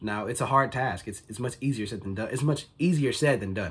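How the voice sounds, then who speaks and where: A man talks fairly quickly with lively intonation, his voice somewhat breathy. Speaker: motivational vlogger. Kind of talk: casual motivational vlog monologue. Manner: casual, filler-heavy.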